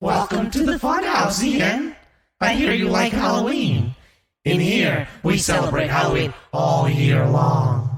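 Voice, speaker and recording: A man does a raspy put-on character voice, pitched high and swinging very widely. He talks at a fairly slow pace with a slight echo. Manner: laughing and sinister.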